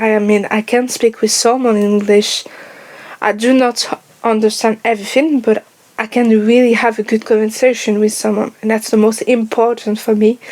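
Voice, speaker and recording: A woman with a slight French accent speaks in a fairly high, monotone, flat voice, with noticeable background noise. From France. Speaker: YouTuber. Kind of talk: personal vlog monologue. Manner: slow.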